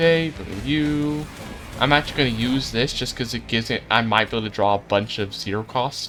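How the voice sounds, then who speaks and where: Music plays behind a man talking at a fairly quick pace. His voice sits at medium pitch with ordinary pitch variation. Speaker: video game streamer. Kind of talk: live gameplay commentary. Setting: live stream. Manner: fast.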